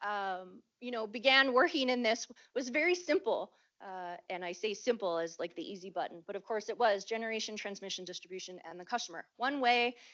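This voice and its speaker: A woman talks at a fairly quick pace in a plain, everyday voice, fairly high in pitch. Her intonation is lively, with big swings in loudness. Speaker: event moderator. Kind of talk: presentation. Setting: conference room with audience.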